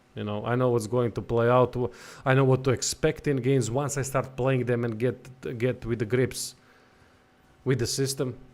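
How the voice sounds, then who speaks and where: A man with a non-native accent speaks at medium pitch and a moderate pace. His delivery is flat and monotone, with long, frequent pauses. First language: not English. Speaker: gaming livestreamer. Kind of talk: live gameplay commentary. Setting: livestream. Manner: casual, reactive.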